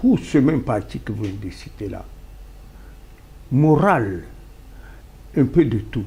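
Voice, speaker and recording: At a very slow pace, a man with a dark, mellow tone and vocal fry speaks with very wide pitch swings. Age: 70s. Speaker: political party founder. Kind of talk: talk show interview.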